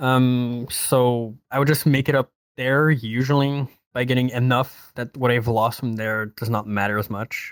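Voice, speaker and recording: On a very clean recording with a silent background, a man with a Quebec accent speaks at a fairly slow pace, medium in pitch with fairly even intonation, the sound dry and close with no echo. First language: French. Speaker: podcast guest. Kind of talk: casual chat.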